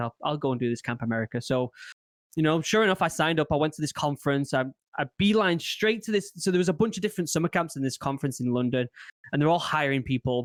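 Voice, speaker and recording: A man with an English accent speaks very fast in a fairly high voice, with lively intonation, on a very clean recording with a silent background. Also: dry, close sound with no echo. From England. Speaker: former marine turned content creator. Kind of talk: casual chat. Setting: podcast.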